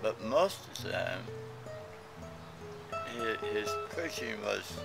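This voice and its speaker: A man at a very slow pace, with clear music in the background. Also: dry sound with no echo. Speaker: son recalling his father. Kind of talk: interview answer. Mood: warm, reflective. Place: garden.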